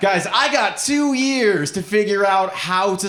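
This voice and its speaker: A man's high-pitched voice with lively intonation and an American accent, amid audible room echo and noticeable background noise. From Nebraska, US Midwest. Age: 30s. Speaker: comedian. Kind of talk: stand-up. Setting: stage with audience.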